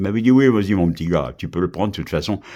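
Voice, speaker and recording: A man with a dark, mellow tone and fairly low pitch speaks with lively intonation in a very clean recording with a silent background. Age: 70s. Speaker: local radio host. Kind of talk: audition pitch for a radio station. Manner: halting, many repetitions.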